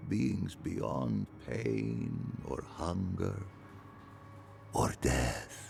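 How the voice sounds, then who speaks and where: Using a put-on character voice, a man speaks at a very deep, low pitch and a very slow pace with long, frequent pauses over clear background noise. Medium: video game. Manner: poetic, rapt.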